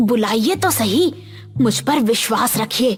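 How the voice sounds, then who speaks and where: A woman's raspy, put-on character voice, fairly high, with very wide pitch swings at a moderate pace over music in the background. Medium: cartoon. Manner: sly, coaxing.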